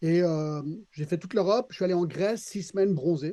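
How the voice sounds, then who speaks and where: Here a man talks at a moderate pace with a high pitch. His tone is dark and mellow, with ordinary pitch variation. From Switzerland, Geneva area (American family). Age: 60s. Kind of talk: podcast interview, personal testimony. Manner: hesitant, with repeated words and fillers.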